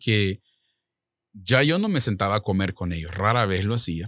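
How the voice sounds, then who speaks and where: This man speaks at a fairly slow pace. The sound is dry with no echo, over a quiet background. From El Salvador. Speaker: author and minister; minister. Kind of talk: testimony. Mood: earnest personal testimony. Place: studio. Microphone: studio mic.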